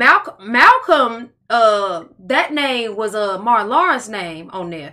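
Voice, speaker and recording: At a very slow pace, a woman with a fairly high pitch speaks in a bright, sharp tone with very wide pitch swings. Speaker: podcast co-host. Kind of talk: casual chat. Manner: laughing often.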